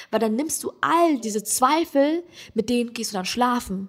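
A high-pitched woman with lively intonation at a fairly slow pace. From Germany, Hesse. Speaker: comedian. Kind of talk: casual chat.

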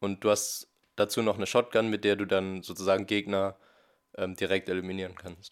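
Over a very clean recording with a silent background, a man talks at a fairly quick pace in a fairly low pitch with monotone, flat intonation. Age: 20s. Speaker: esports player. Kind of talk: interview.

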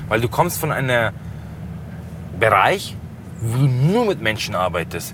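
A man's medium-pitched voice with lively intonation, over noticeable background noise. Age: 20s. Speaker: taxi driver. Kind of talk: casual chat. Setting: in a car.

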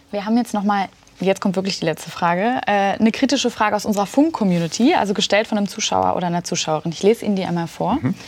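A very fast woman's voice at medium pitch, ordinary pitch variation, amid noticeable background noise. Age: 20s. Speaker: youth interviewer. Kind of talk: political interview. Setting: studio.

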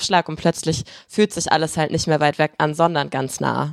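The voice is monotone and flat, moving at a moderate pace. The recording is very clean with a silent background and a dry, close sound with no echo. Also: woman. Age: 20s. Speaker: online video presenter. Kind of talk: casual chat.

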